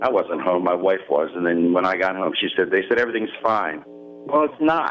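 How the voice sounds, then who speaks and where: Over noticeable background noise, a man speaks at a moderate pace in a very deep, low voice with very wide pitch swings and very even loudness. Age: 60s. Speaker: caller. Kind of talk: call-in radio question. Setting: phone call.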